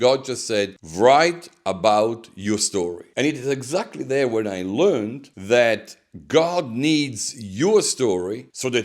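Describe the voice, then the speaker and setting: The speaker has an Italian accent and lively intonation. The pace is fairly slow. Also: man. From Italy. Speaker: pastor and author. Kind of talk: interview.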